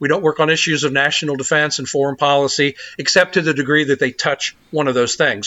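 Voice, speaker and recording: An unremarkable speaking voice belongs to a man with an American accent who talks at a fairly quick pace and a fairly high pitch. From US South, South Carolina. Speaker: think tank president. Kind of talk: long-form interview.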